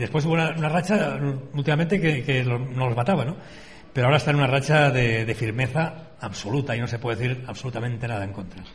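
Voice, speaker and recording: Speaking very fast, a man's voice carries audible room echo. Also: medium pitch for a man, ordinary pitch variation. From Spain, Valencia. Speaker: bullfighting radio host. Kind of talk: radio talk show. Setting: hotel, live radio broadcast.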